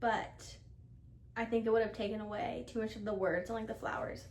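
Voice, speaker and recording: A woman is speaking. Her pace is moderate. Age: 20s. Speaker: ICU nurse and crafter. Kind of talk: casual crafting podcast talk to camera. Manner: casual, chatty.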